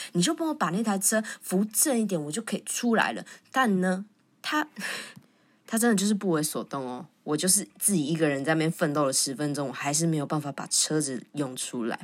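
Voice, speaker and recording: Fairly quick, animated speech from a woman at a fairly low pitch, with lively intonation, very clean recording and silent background. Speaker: podcast host. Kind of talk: casual monologue. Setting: recording at the office.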